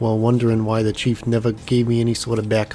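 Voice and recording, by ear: A natural voice reading aloud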